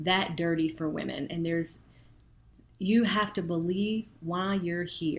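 A woman speaks with a slight Southern US accent. Her pitch is fairly low and her intonation fairly even. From Arkansas. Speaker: Senate candidate, former attorney. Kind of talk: interview conversation.

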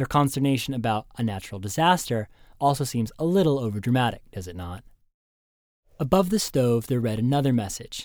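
In a very clean recording with a silent background, a man with an unremarkable speaking voice talks at a fairly quick pace and medium pitch, his intonation lively and his loudness swinging widely. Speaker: travel memoir narrator. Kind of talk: scripted narration. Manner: formal.

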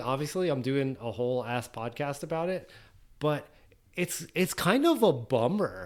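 Using an unremarkable speaking voice, a man with a fairly high pitch talks at a moderate pace with lively intonation. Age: 40s. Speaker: podcast host. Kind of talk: casual chat.

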